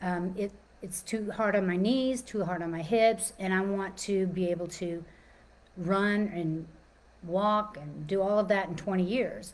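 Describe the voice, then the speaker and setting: A woman speaks fairly slowly with an American accent. Audible room echo is present. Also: medium pitch for a woman, fairly even intonation. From Texas, Dallas. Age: 60s. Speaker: personal trainer and life coach. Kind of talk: informal talk / webinar presentation. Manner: casual, with many fillers and restarts.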